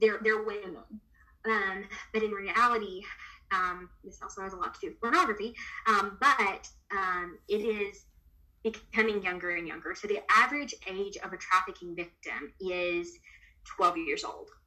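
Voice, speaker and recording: Speaking in an American accent at a moderate pace, a woman uses a medium pitch with ordinary variation, big swings in loudness, and long, frequent pauses, with noticeable background noise behind her. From US South. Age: 20s. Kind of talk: interview.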